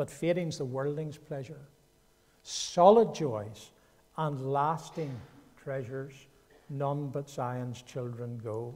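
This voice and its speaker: In a Northern Irish accent, a man with a fairly high pitch talks at a very slow pace, with long, frequent pauses and ordinary pitch variation. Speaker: guest preacher. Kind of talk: sermon. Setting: church.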